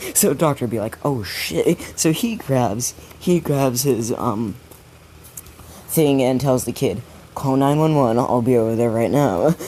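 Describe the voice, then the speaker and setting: Fairly slow speech with long, frequent pauses and ordinary pitch variation over noticeable background noise. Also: man, medium pitch for a man. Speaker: storyteller of fan fiction ideas. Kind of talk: casual storytelling monologue. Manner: upbeat, not sad-sounding.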